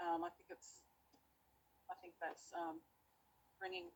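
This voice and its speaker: This woman speaks with an Australian accent. Her pace is moderate, and her pitch is fairly low. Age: 40s. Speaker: debater, channel owner. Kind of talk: debate. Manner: halting.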